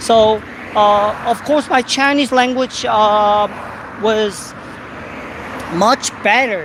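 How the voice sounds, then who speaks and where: In a Korean accent, a woman talks at a medium pitch. Her pitch varies in an ordinary way. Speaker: YouTuber. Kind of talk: casual live-stream chat. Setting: outdoors walking. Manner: halting, many fillers.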